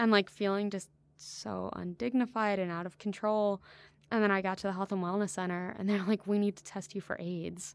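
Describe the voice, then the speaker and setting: A woman with an American accent speaks fairly quickly at medium pitch, her intonation monotone and flat. The recording is very clean, with a silent background. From US South, Georgia (near Augusta). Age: 20s. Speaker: researcher and author on security in Africa. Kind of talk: interview conversation.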